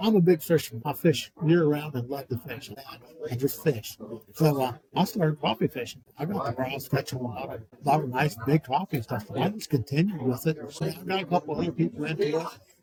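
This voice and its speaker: A man talks at a fairly quick pace in an American accent, his pitch fairly high and his intonation lively. Noticeable background noise runs beneath his voice. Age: 60s. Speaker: tournament angler and fishing report site owner. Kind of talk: casual interview.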